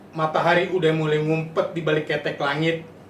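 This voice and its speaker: A man talks at a fairly quick pace with a Jakarta accent. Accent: Betawi dialect. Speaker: poet. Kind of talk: poetry reading.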